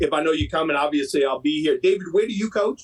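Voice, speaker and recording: The man sounds dry and close, without any echo at all. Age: 50s. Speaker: baseball coach. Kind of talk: casual chat. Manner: animated.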